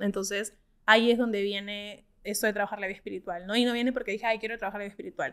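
A woman talks at a very fast pace with fairly even intonation against a quiet background. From Peru. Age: 30s. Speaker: startup co-founder; guest. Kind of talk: interview. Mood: reflective, earnest. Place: studio. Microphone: studio mic.

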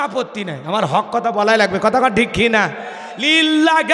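The man's voice sits high in pitch, with an animated tone and lively intonation. Noticeable background noise runs underneath. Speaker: Islamic preacher. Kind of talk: sermon. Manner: animated, loud call-and-response.

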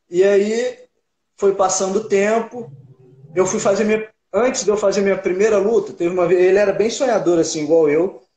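Against a quiet background with audible room echo, a man speaks at a moderate pace in a high, dark and mellow voice, his loudness very even. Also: ordinary pitch variation. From Minas Gerais interior, Brazil. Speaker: MMA fighter. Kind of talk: casual interview. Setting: online live stream. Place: home room. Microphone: video call.

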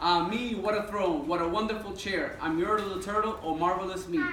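A man's high-pitched voice with ordinary pitch variation, light background noise and audible room echo. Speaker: guest. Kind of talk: reading a story aloud to children. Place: classroom. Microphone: camera far.

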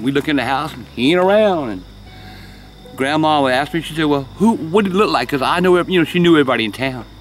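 With music in the background, a man with a Southern US accent talks very fast in a fairly high voice with lively intonation, the sound dry with no echo. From South Carolina. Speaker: storyteller. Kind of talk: storytelling. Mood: calm, hushed, eerie telling. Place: garden. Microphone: phone near.

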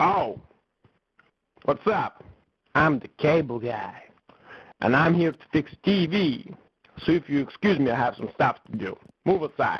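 A cartoonish character voice at a middle pitch and a moderate pace, broken by long, frequent pauses. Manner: irritated, shouting.

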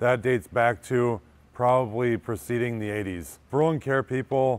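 A man talks at a moderate pace in a medium pitch. His tone is clear and smooth, with ordinary pitch variation.

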